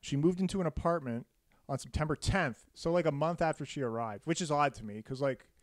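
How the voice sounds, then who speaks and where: The speaker talks at a very fast pace in a playful tone. The recording is very clean, with a silent background and a dry, close sound with no echo. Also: man, ordinary pitch variation. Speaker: podcast host telling a murder story. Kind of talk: casual comedic storytelling chat. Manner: joking, playful.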